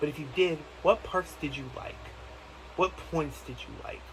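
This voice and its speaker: Behind the man talking, clear background noise can be heard. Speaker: gaming youtuber. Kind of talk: video game theory monologue. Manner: halting, many restarts; casual, animated.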